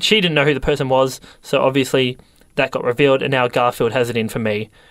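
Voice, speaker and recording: A man with a plain, everyday voice speaks at a fairly high pitch with ordinary pitch variation. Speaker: radio host. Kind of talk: comedy radio show banter. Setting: radio studio. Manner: bickering, irritable, hammy.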